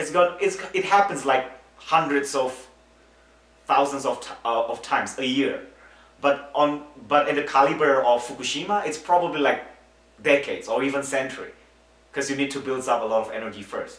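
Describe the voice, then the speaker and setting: A man with a non-native accent, fairly high pitch and ordinary pitch variation, at a moderate pace with long, frequent pauses, amid audible room echo and noticeable background noise. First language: not English. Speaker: earthquake expert interviewee. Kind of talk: interview explanation.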